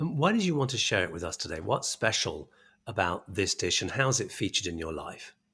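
A man speaks at a fairly quick pace in a medium pitch, his voice swinging very widely up and down, on a very clean recording with a silent background. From England. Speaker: podcast host. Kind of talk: casual interview; scripted narration.

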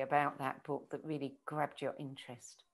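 A woman talks with vocal fry. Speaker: book club host. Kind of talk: casual interview. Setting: live video call.

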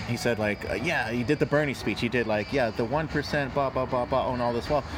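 Speech with an American accent flows with hardly any pauses and very even loudness. Noticeable background noise is present. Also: man. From New York. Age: 20s. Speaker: podcast host. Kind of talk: casual conversation.

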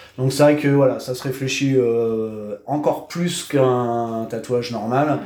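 A man talks at medium pitch with ordinary pitch variation. Audible room echo and noticeable background noise are present. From Normandy, France (Cherbourg, Cotentin). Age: 30s. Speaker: tattoo artist. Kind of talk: casual interview. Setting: his tattoo studio. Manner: hesitant, many fillers.

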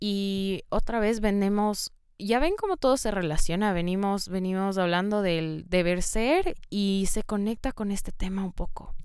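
Recorded very cleanly over a silent background, a woman talks at a fairly slow pace and medium pitch with ordinary pitch variation. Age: 20s. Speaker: podcast host. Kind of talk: solo monologue podcast. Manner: hesitant, filler-heavy.

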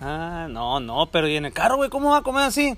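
There is noticeable background noise behind this man's high-pitched voice. His pitch swings very widely. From rural Mexico. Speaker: handyman and amateur podcaster. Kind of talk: casual chat. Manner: animated.

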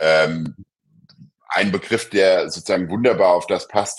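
A man with a very deep, low pitch and vocal fry, at a fairly slow pace. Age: 50s. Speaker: law professor. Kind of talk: interview. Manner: hesitant, many filler sounds.

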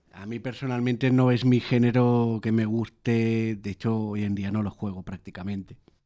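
A man with a medium-pitched voice and a dark, mellow tone speaks at a moderate pace on a very clean recording with a silent background. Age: 30s. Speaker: podcast host. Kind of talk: casual chat.

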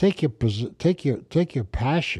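This man has an American accent and a dark, mellow tone that is somewhat breathy. The recording is very clean, with a silent background. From New York, the Bronx. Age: 70s. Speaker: podcast host, businessman. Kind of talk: casual chat. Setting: studio. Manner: halting.

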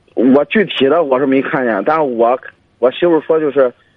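With ordinary pitch variation, a man talks at medium pitch and a moderate pace. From Jinan, Shandong. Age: 20s. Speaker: caller. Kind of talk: personal family problem account. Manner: halting.

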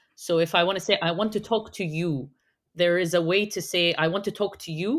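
A woman with an Arabic accent speaks at a fairly low pitch with ordinary pitch variation. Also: very clean recording, silent background. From Egypt. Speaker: SEO consultant. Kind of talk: casual chat.

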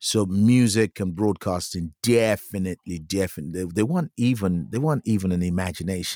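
The recording is very clean, dry and close, with a silent background and no echo. A man talks at a moderate pace in a very deep, low pitch and dark, mellow tone, with ordinary pitch variation. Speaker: musician. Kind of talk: casual chat.

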